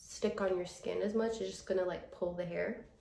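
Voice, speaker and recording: Against audible room echo, a woman speaks at medium pitch with ordinary pitch variation. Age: 20s. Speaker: lifestyle and comedy vlogger. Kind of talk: casual vlog chat.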